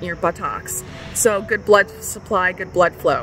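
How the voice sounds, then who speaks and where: A woman at a fairly slow pace with fairly even intonation, music in the background. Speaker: personal storyteller. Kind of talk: casual vlog chat. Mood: candid, matter-of-fact. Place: street. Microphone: phone near.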